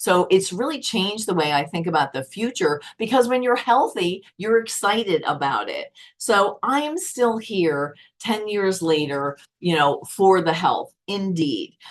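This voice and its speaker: This woman's tone is animated, with very wide pitch swings. She talks at a fairly slow pace. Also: medium pitch for a woman. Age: 60s. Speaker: network marketing presenter, former accountant. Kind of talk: sales pitch.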